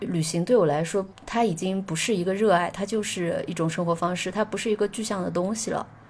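Her voice an unremarkable speaking voice, a woman talks at medium pitch and a fairly quick pace with hardly any pauses. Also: ordinary pitch variation. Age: 20s. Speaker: musician and travel blogger. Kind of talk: casual chat.

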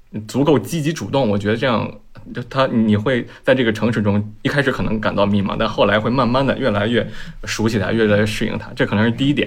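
This man talks at a very fast pace, his voice at a medium pitch with ordinary pitch variation. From Beijing. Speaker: urban renewal project founder. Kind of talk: casual panel discussion.

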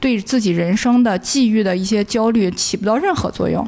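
Her voice is fairly high for a woman, in a normal speaking voice. She keeps a moderate pace and ordinary pitch variation. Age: 30s. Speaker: former film industry worker, tea house owner. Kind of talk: casual interview chat. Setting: tea house.

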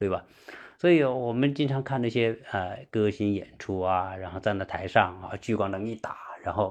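A man's medium-pitched voice with lively intonation at a moderate pace, against a quiet background. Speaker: podcast livestream host. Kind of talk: livestream monologue. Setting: online livestream with listeners. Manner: halting, many fillers.

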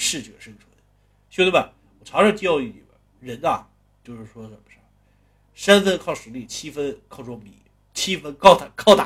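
A man with a Northeastern Chinese accent speaks at a moderate pace in a fairly high, somewhat breathy voice. His pitch swings very widely, his loudness rises and falls sharply, and he takes long, frequent pauses. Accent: Northeastern Mandarin. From Northeast China. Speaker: storyteller. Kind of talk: storytelling narration. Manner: casual, conversational.

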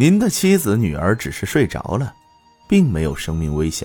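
A man's put-on character voice, dark and mellow with a slightly husky edge, very wide pitch swings and a moderate pace, over faint music in the background. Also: fairly low pitch for a man.

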